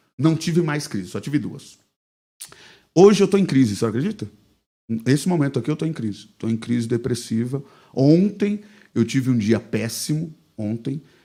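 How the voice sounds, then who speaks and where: A man's dark, mellow tone sits at medium pitch, carried by lively intonation. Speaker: pastor, podcast guest. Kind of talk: casual interview, personal testimony. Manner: fast.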